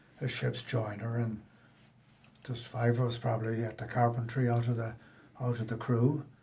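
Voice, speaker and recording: A man with an American accent speaks at a moderate pace in a medium-pitched, dark, mellow, somewhat breathy voice. His intonation is monotone and flat, with long, frequent pauses. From Ireland, Westport, County Mayo. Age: 70s. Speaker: emigrant carpenter. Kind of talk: interview. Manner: halting.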